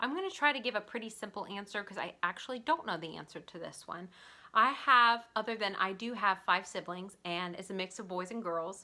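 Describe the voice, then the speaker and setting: Speaking in a Southern US accent at medium pitch, a woman talks at a fairly quick pace with a bright, sharp, animated tone, ordinary pitch variation and big swings in loudness. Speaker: artist and small shop owner. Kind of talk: casual Q&A vlog.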